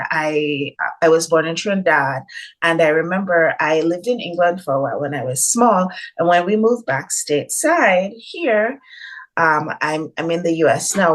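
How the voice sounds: Through noticeable background noise, a woman talks at a moderate pace with lively intonation. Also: fairly low pitch for a woman.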